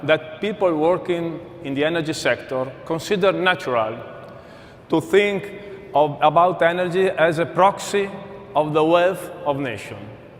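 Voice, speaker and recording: Over noticeable background noise, a man with an Italian accent speaks in a high pitch with ordinary pitch variation. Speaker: corporate speaker. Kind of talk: conference presentation.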